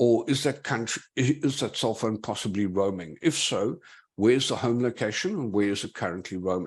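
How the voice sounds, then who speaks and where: A man with a South African accent speaks at a fairly quick pace. His medium-pitched voice has lively intonation against a quiet background. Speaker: digital forensics investigator. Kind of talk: conference talk.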